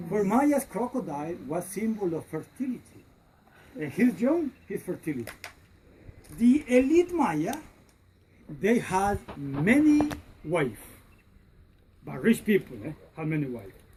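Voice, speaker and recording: Amid noticeable background noise, a woman with a medium pitch speaks at a fairly slow pace, with very wide pitch swings, big swings in loudness, and long, frequent pauses. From Honduras. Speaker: tour guide. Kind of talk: guided tour talk.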